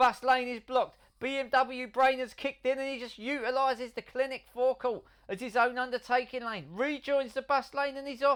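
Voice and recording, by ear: A fairly bright, clear, smooth tone at a moderate pace with fairly even intonation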